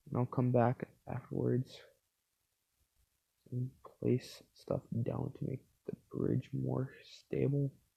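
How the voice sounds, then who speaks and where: Man at a very slow pace with long, frequent pauses, in a dry, close sound with no echo. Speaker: gaming YouTuber. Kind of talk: Minecraft gameplay commentary. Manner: halting; casual, filler-heavy.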